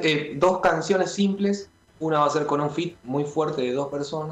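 Male speech, fairly high in register, medium in speed and fairly level in intonation. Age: 30s. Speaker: rock musician and music producer. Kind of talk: radio interview. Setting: remote call into radio show.

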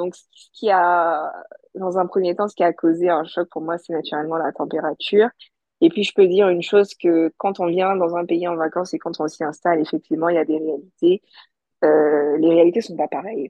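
This woman has an ordinary speaking voice, fairly low in pitch, moving at a moderate pace with fairly even intonation but big swings in loudness. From Côte d'Ivoire (Abidjan). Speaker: podcaster and entrepreneur. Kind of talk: testimony.

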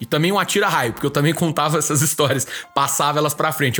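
A man's fairly high pitch over noticeable background noise. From Minas Gerais, Brazil (Divinópolis). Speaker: podcast host, sports journalist. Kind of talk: casual chat.

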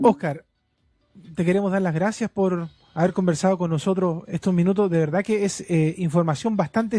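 Speaking with a Chilean accent at a fairly quick pace, a man has a dark, mellow tone and ordinary pitch variation, in a dry, close sound with no echo on a very clean recording with a silent background. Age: 30s. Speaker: radio host. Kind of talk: radio interview.

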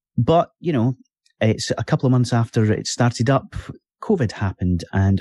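Man with a dark, mellow, somewhat breathy tone at a moderate pace, dry and close with no echo, over a quiet background. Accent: Scottish. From Scotland, Fife. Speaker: podcast host. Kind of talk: casual chat.

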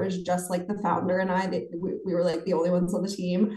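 Medium-pitched woman's voice with audible room echo. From western Pennsylvania, small town near Pittsburgh. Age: 20s. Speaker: financial content creator. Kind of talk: interview.

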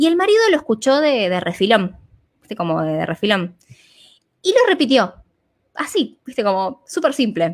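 A woman with a fairly high pitch swings her voice very widely, leaving long, frequent pauses. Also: moderate pace. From Argentina. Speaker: holistic therapist and business coach. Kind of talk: interview conversation.

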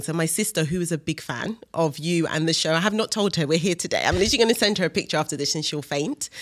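Speaking at a very fast pace, the woman has a fairly low pitch. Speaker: podcast host. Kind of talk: casual interview conversation.

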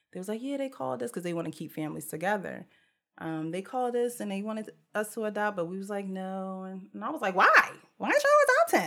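This woman talks at a very fast pace, her medium-pitched voice carried by lively intonation. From New Jersey (Jersey City, then Willingboro area). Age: 30s. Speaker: podcast host. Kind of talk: casual chat.

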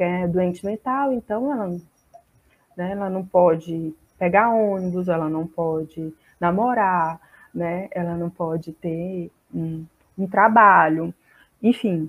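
A woman talks very slowly, leaving long, frequent pauses, her fairly low voice rising and falling in an ordinary way. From Brazil, Fortaleza, Ceará. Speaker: psychologist. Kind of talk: online seminar talk.

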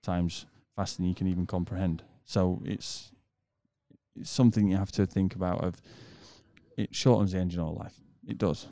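Over a silent background in a very clean recording, a man with a British accent and a dark, mellow tone speaks at a very deep, low pitch and a fairly quick pace, with fairly even intonation and long, frequent pauses. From UK. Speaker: mechanic. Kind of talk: casual chat. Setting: hotel lobby, wearing masks.

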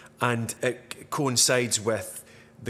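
A man speaks with a Dundee accent. His pitch sits in the medium range. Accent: Scottish (Dundonian). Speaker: podcast host. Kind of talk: casual chat.

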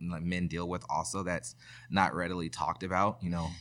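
Speaking with an American accent, a man uses a very deep, low pitch and a bright, sharp tone. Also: very clean recording, silent background. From US West Coast, Sacramento area (California). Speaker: probation officer and community group treasurer. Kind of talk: casual interview conversation.

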